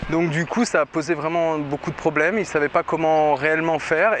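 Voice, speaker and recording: A man with a fairly high pitch talks over noticeable background noise. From central France, Berry. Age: 30s. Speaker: testimony giver. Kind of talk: testimony. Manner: hesitant, many fillers.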